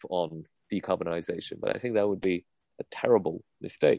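Against a quiet background, a man in an ordinary speaking voice speaks at a moderate pace with ordinary pitch variation and a dry, close sound with no echo. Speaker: economics commentator. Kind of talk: interview.

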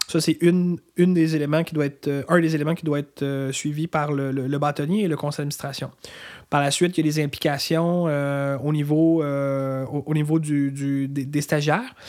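A man with a fairly high pitch speaks at a moderate pace. His intonation is flat and monotone. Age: 30s. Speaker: lawyer, bar association president. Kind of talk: interview. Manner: halting, many fillers.

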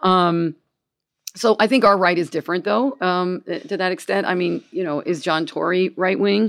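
Heard on a very clean recording with a silent background, a plain, everyday voice with an American accent shows ordinary pitch variation. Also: woman, medium pitch for a woman, moderate pace. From Gainesville, US. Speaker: comedian. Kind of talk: casual chat. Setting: studio with live audience.

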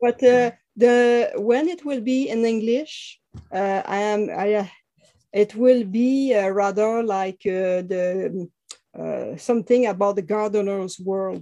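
Speaking with a French Canadian accent, a woman goes at a very slow pace. Her voice is fairly high, with a dark, mellow tone. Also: ordinary pitch variation. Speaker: author. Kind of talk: interview. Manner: halting.

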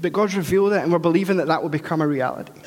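A high-pitched man with a Scottish accent talks at a very fast pace with fairly even intonation. Audible room echo and noticeable background noise come through. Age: 30s. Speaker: pastor. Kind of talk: sermon.

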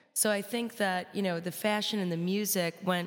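This woman has a medium-pitched voice with ordinary pitch variation. It is an unremarkable speaking voice. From Chicago. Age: 20s. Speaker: rock musician. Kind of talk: classroom talk. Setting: classroom with live audience.

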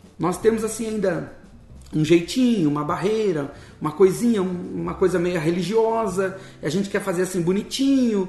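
A high-pitched male voice at a moderate pace with ordinary pitch variation. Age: 40s. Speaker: missionary. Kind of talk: interview, personal testimony. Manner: casual, colloquial.

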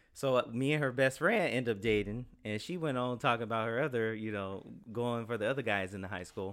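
This man talks at a fairly quick pace with hardly any pauses and ordinary pitch variation. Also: medium pitch for a man. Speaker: guest. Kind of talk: casual chat. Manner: loud; animated.

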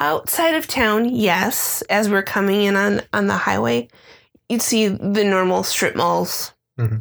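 A woman speaks at a fairly slow pace. Her loudness stays very even on a very clean recording with a silent background. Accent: American. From Illinois, Chicago area. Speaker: podcast co-host. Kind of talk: casual chat.

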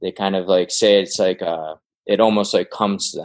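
With an American accent, this is a normal speaking voice with fairly even intonation. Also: man. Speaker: band member, musician. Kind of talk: casual chat, podcast interview.

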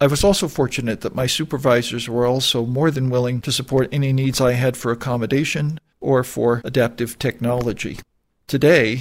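A man with an American accent and an ordinary speaking voice, medium pitch, fairly even intonation and a fairly quick pace, on a very clean recording with a silent background. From northern Maine, US. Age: 60s. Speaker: charity volunteer with vision loss. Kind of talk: prepared personal testimony.

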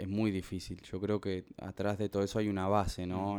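In a very deep, low pitch, a man talks at a moderate pace with monotone, flat intonation. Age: 30s. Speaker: professional footballer. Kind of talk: testimony. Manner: halting, many repetitions.

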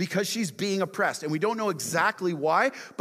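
An unforced reading voice carries ordinary pitch variation throughout.

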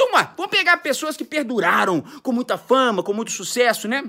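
In a raised, projected voice, a man talks at a fairly quick pace with a bright, sharp, animated tone and very wide pitch swings. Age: 40s. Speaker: music career coach. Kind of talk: motivational monologue.

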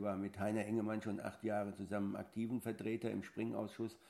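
The speech moves at a fairly quick pace with vocal fry, a dark, mellow tone and monotone, flat intonation. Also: man. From Lower Franconia, Bavaria (near Aschaffenburg). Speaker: national show jumping coach. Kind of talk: interview.

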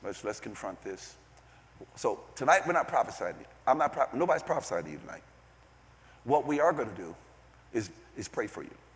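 The man's voice carries vocal fry and very wide pitch swings, with big swings in loudness and long, frequent pauses. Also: medium pitch for a man, fairly quick pace. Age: 60s. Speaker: visiting preacher. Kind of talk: sermon. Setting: church. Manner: animated.

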